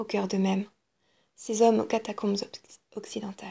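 Somewhat breathy, with a dark, mellow tone, a woman speaks at a fairly high pitch and a fairly quick pace. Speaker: audiobook reader. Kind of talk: audiobook reading of a literary novel excerpt.

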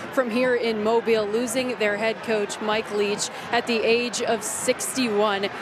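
Over noticeable background noise, a woman speaks in a flat monotone. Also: dry sound with no echo. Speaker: sideline reporter. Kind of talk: sideline reporting, interviewing. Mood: somber, respectful tribute. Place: stadium. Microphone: handheld.

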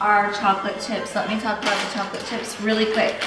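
Noticeable background noise sits alongside audible room echo in this clip. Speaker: cooking segment host. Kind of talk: casual cooking vlog chat. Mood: playful, laughing. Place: kitchen.

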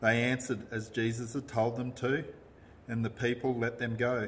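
The speaker is a man talking at a moderate pace. There is light noise in the background. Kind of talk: scripture reading. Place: home room.

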